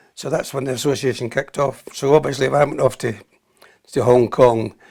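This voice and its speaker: A man with a Scottish accent speaks at medium pitch and a fairly quick pace. His intonation is fairly even, with vocal fry. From Scotland. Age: 80s+. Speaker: army veteran. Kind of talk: interview.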